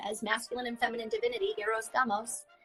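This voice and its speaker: A loud voice speaks at a fairly quick pace with music in the background. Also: woman. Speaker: shaman and hypnotherapist. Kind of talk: livestream interview.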